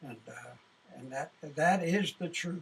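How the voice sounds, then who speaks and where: Here a man talks in a high-pitched voice. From Canada, British Columbia First Nations reserve. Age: 70s. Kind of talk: interview testimony. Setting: studio. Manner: halting, repetitive.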